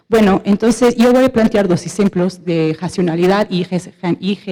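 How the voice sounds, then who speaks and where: A woman speaks in a dark, mellow tone with ordinary pitch variation. The sound is dry and close, with no echo. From Portugal. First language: Portuguese (speaking Spanish). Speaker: audience member asking questions, economist. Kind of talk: question from audience at panel debate. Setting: auditorium with audience. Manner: halting, with fillers and self-corrections.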